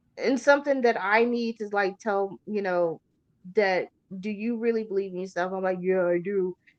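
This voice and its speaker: Her pace is moderate and her pitch is medium. The woman's pitch varies in an ordinary way. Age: 40s. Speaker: horror show host. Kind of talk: casual chat. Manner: animated.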